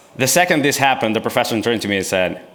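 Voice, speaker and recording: A man talks at a medium pitch, his voice carrying audible room echo. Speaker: YouTuber and engineering maker. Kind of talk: conference talk with Q&A. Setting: stage with audience.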